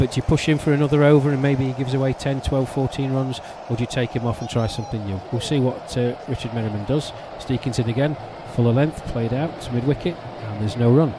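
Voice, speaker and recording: Words come at a very fast pace with fairly even intonation over noticeable background noise. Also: man, medium pitch for a man. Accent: English. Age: 50s. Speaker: cricket commentator. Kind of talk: live commentary.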